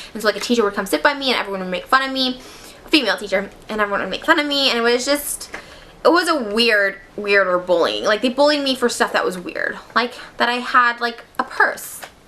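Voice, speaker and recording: A woman speaks at a very fast pace in a high pitch with lively intonation. Noticeable background noise can be heard. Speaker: vlogger. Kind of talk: storytime monologue.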